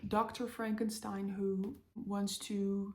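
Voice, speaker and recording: A woman with a non-native accent talks at a very slow pace in a monotone, flat intonation. Audible room echo surrounds her voice. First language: not English. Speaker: book vlogger. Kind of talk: casual chat. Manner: halting, many fillers.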